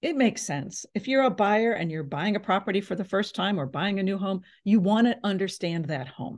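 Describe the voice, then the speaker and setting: A woman speaks at a medium pitch with lively intonation and a somewhat breathy quality. The background is quiet. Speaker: real estate agent. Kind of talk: seminar presentation. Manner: fast.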